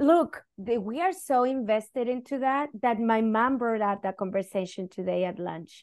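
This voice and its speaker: Against a quiet background, a woman with a Spanish accent speaks at a moderate pace in a fairly high pitch with lively intonation. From northern Chile. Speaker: educator and activist. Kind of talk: interview conversation.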